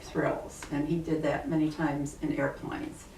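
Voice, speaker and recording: A woman speaks at a fairly low pitch and a fairly slow pace, with a Midwestern American accent. Noticeable background noise runs under her voice. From Ohio, USA. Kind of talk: interview answer, childhood memories.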